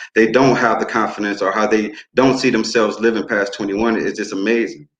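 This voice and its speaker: A man with an American accent talks at a fairly quick pace and medium pitch, his intonation fairly even, with audible room echo. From New Orleans, Louisiana, then Muskegon, Michigan. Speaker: youth group facilitator, community worker. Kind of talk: panel speech at online town hall.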